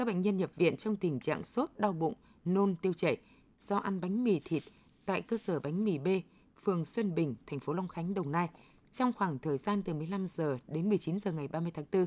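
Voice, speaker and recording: A woman speaks with fairly low pitch and a dark, mellow tone. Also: ordinary pitch variation, moderate pace. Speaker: radio news presenter. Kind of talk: news reading. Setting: studio. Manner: formal. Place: studio.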